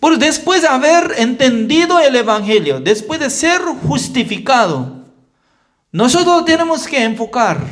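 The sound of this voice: A man's fairly bright tone with big pitch swings, at a fairly slow pace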